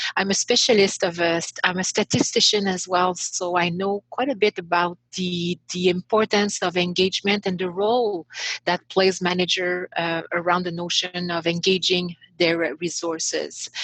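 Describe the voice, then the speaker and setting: Moderately paced, a woman speaks with fairly even intonation. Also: medium pitch for a woman, dry, close sound with no echo. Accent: Quebec. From Quebec, Montreal. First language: French. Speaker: author and leadership coach. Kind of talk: podcast interview. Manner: halting, many fillers.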